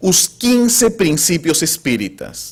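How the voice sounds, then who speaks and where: At a very slow pace, a man talks in a high voice with very wide pitch swings. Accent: Spanish. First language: Spanish (speaking Portuguese). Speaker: spiritist lecturer. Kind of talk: lecture. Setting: spiritist center with audience.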